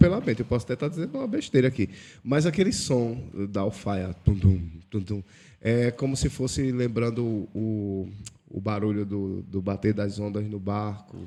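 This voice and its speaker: A man with a strong Pernambuco accent speaks in a dark, mellow tone. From Pernambuco, Brazil. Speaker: podcast host. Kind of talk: casual chat.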